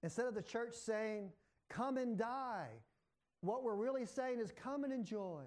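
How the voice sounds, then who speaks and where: A man with an extremely high pitch at a fairly slow pace, very even loudness and audible room echo. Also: ordinary pitch variation. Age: 60s. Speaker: pastor. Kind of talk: sermon.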